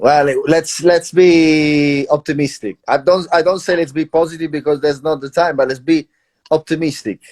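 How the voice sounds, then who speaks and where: Dry and close with no echo, a man's voice carries a strong Italian accent. His pitch is fairly high and his intonation fairly even. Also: moderate pace. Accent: Italian, thick. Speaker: traveler. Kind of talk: casual chat.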